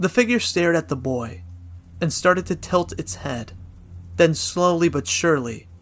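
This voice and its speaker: A somewhat breathy man with a fairly high pitch makes very wide pitch swings in a very clean recording with a silent background. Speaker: horror story narrator. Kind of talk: ghost story telling. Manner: hushed, slow, eerie.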